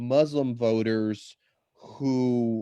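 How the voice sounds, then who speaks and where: Against a quiet background, a man with an American accent talks in a dark, mellow tone at medium pitch with ordinary pitch variation, the sound dry and close with no echo. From US Midwest, Chicago area. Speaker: political campaign coordinator. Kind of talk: panel discussion. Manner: halting, many repeated words.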